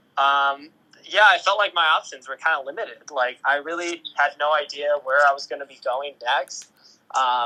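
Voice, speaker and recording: At a fairly slow pace, a man speaks in a fairly high voice. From US Midwest, Ohio. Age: 20s. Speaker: photographer and agency founder. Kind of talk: podcast interview. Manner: hesitant, many fillers.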